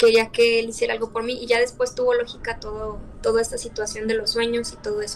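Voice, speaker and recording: This woman's fairly high voice stays monotone and flat, with noticeable background noise present. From León, Spain or Mexico. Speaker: interviewee telling a real horror experience. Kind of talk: interview answer, personal horror story told over video call.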